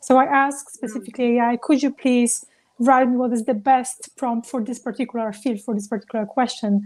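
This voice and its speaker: Speaking at a fairly quick pace with a non-native accent, a woman keeps a monotone, flat intonation at a fairly high pitch. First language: not English. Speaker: travel business founder. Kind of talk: panel discussion.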